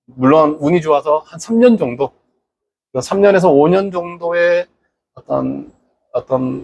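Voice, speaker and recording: Lively intonation marks this man's very slow delivery, recorded with a dry, close sound with no echo. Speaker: local online broadcaster. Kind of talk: monologue address to viewers. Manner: hesitant, filler words.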